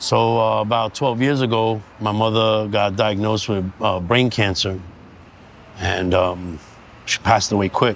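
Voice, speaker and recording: A man's fairly low voice at a fairly slow pace, with fairly even intonation and very even loudness. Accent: New York. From US Northeast, Bushwick, Brooklyn, New York City. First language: Sicilian. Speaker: street art community founder. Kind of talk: interview, personal story.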